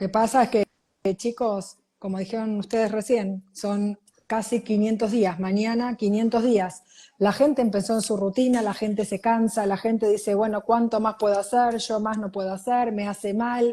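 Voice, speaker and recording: With a quiet background, a woman speaks at a moderate pace in a fairly high pitch, her tone dark and mellow, somewhat breathy, with monotone, flat intonation. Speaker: news show co-host. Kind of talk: casual news discussion.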